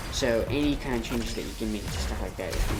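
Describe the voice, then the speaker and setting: Noticeable background noise accompanies talking delivered at a very fast pace. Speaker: gaming tutorial creator. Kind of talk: tutorial. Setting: recorded voice-over on gameplay replay. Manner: halting.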